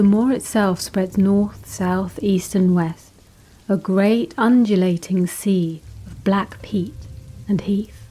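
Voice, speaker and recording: Speaking very slowly, a woman uses a medium pitch and fairly even intonation, her dark, mellow tone somewhat breathy. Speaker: narrator. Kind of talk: gothic horror story reading.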